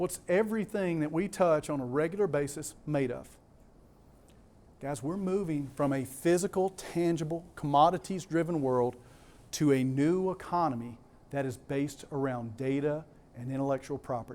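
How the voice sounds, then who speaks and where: Speaking at a moderate pace, a man with a Southern US accent has a fairly high pitch. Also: ordinary pitch variation. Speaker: conference speaker. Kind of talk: conference presentation. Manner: animated.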